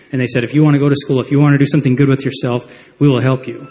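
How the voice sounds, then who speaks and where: A man speaks at a medium pitch with an American accent. His voice is somewhat breathy. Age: 30s. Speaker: audience member at town hall. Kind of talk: testimony. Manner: halting.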